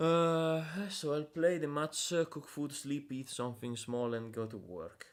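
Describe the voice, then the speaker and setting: A man speaks with a non-native accent. He goes at a fairly slow pace. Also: fairly high pitch for a man, ordinary pitch variation. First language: Italian. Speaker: game developer streamer. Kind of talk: live stream dev commentary. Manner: halting, many fillers.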